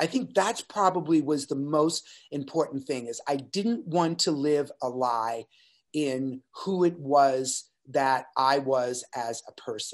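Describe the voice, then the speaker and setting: A man talks at a very slow pace. His pitch varies in an ordinary way against a quiet background. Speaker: podcast guest. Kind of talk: interview answer. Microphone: webcam.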